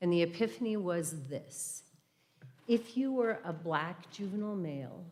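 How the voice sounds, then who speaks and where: Amid audible room echo, a woman with a fairly low voice speaks fairly slowly with ordinary pitch variation. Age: 60s. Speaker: retired judge and guest speaker. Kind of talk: church talk, personal reflection. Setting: church service, livestreamed.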